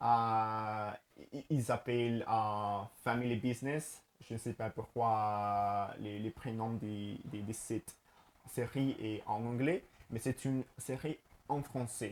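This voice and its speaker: On a very clean recording with a silent background, a man with a Spanish accent speaks at a very slow pace and a medium pitch, with fairly even intonation. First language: Spanish (speaking French). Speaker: language learner and teacher. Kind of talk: casual vlog talk to camera. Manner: halting, many fillers and repetitions.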